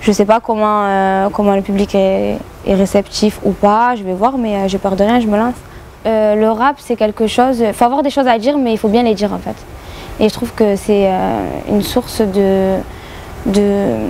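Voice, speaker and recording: In a southern French accent, a woman speaks at medium pitch and a moderate pace with fairly even intonation, against noticeable background noise. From southern France, Béziers. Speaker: rapper and YouTuber. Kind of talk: radio interview. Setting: club venue with radio mic. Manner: many hesitations (euh).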